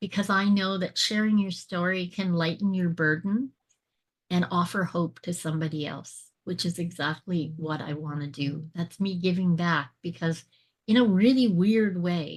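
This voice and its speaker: Against a quiet background, a woman with a fairly low, somewhat breathy voice speaks at a moderate pace with ordinary pitch variation. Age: 60s. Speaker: transformational speaker and author. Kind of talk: interview testimony. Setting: podcast interview.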